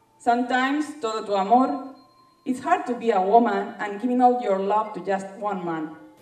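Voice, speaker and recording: Her voice fairly high-pitched and her intonation lively, a woman speaks at a fairly slow pace with audible room echo. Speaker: spoken word poet. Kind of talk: spoken word poetry performance. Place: stage.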